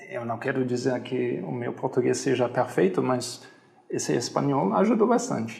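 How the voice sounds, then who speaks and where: Very wide pitch swings in a man's speech, noticeable background noise behind it. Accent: German. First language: German (speaking Portuguese). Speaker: hostel owner. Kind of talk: interview. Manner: halting, with fillers.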